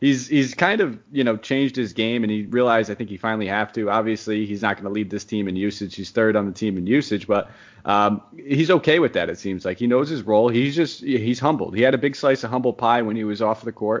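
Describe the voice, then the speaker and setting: A very fast, medium-pitched male voice with ordinary pitch variation and hardly any pauses. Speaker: fantasy sports podcast host. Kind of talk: casual chat. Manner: talkative, jokey.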